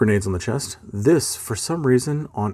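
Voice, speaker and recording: Somewhat breathy mumbling at a moderate pace with lively intonation. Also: man. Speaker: miniature painting hobbyist. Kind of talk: casual painting tutorial narration. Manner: rambling, mumbles a lot.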